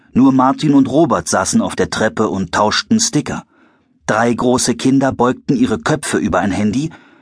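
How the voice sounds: Someone reads in a natural voice.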